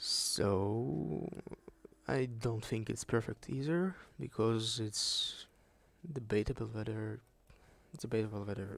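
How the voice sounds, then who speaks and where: A man with a strong Russian accent speaks at a very slow pace with lively intonation. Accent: thick Russian. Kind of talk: unscripted video essay talk. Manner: rambling, casual.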